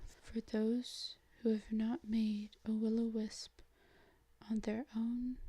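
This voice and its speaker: The speech moves at a very slow pace. The voice is soft-spoken. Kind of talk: ASMR role play reading, apothecary advice. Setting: close-mic audio only recording. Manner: soft-spoken, slow, relaxing.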